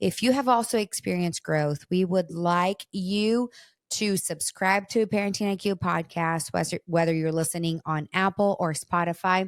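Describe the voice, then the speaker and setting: A moderate-paced voice in a Portuguese accent with ordinary pitch variation, dry and close with no echo, in a very clean recording with a silent background. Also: woman, medium pitch for a woman. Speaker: podcast host, parenting researcher. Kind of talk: casual chat.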